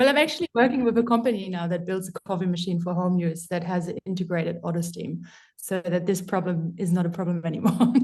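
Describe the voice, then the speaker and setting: Somewhat breathy, a woman with a German accent talks at a very fast pace with hardly any pauses. Her medium pitch shows ordinary variation. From Germany. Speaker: coffee professional. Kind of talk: casual chat.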